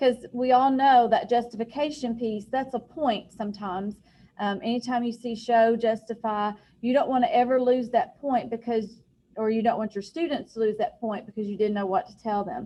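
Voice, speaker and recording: This voice has a dark, mellow tone, ordinary pitch variation and a moderate pace, with big swings in loudness. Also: woman, fairly high pitch for a woman. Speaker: high school math teacher. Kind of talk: lecture.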